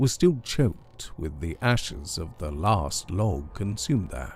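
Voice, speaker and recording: Calm and somewhat breathy, a man speaks at a fairly slow pace with a dark, mellow tone and very wide pitch swings. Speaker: storyteller. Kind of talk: horror story reading. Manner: calm, relaxing.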